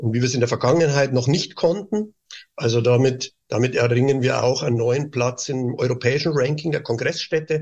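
A somewhat breathy man's voice at a moderate pace with fairly even intonation, against a quiet background. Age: 50s. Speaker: tourism board director. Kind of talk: interview.

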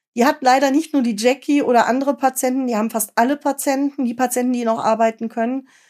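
On a very clean recording with a silent background, a woman speaks at a very fast pace and a high pitch with hardly any pauses and monotone, flat intonation. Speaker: podcast host and patient advocacy founder. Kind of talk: podcast interview.

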